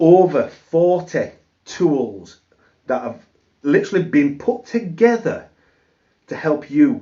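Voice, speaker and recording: This is a man's voice. He speaks with a British accent. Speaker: affiliate marketing youtuber. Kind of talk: sales pitch. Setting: home office.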